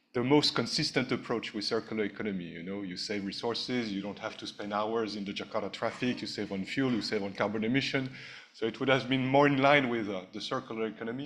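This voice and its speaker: A man with a French accent speaks at a very fast pace with hardly any pauses, using a medium pitch and ordinary pitch variation. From France. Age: 50s. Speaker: ambassador, diplomat. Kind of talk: speech at a launch event. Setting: hotel ballroom event. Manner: hesitant with frequent uh fillers.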